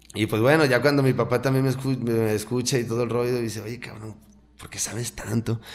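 A man talks in a monotone, flat intonation. His loudness swings widely. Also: fairly quick pace. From Mexico, Jalisco (Lagos de Moreno); Jalisco, Mexico. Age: 30s. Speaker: cannabis cultivation workshop instructor; podcast guest. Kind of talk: casual interview chat. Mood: relaxed, candid. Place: studio. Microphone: studio mic.

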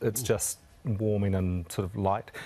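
This is a man with a New Zealand accent. His pitch sits fairly low. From New Zealand, Wanganui. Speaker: chef; guest. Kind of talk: casual chat. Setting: studio. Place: studio.

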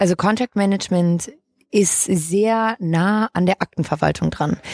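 A very slow pace with ordinary pitch variation. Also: woman. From northern Germany, Hamburg. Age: 20s. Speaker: legal tech entrepreneur, managing director. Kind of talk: interview.

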